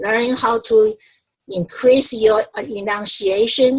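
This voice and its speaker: The speaker is a woman with a non-native accent. Her pitch is fairly high. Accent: non-native English accent, reduced. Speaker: speech-language pathologist. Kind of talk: online panel discussion.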